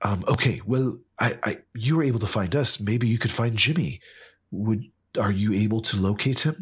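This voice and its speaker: Very even in loudness and somewhat breathy, this voice moves at a moderate pace in a very clean recording with a silent background. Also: man, medium pitch for a man, ordinary pitch variation. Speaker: player in a tabletop roleplaying game.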